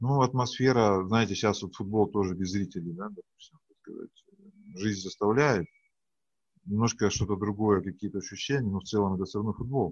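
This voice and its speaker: With an ordinary speaking voice, a man speaks with ordinary pitch variation and big swings in loudness. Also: fairly low pitch for a man, moderate pace. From Siberia, Russia. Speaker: business trainer and tournament judge. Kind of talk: interview. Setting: video call.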